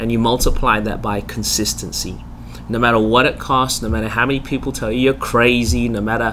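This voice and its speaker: There is noticeable background noise behind a man talking with an Australian accent. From Australia, Melbourne. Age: 40s. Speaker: pastor. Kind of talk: interview conversation. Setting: studio.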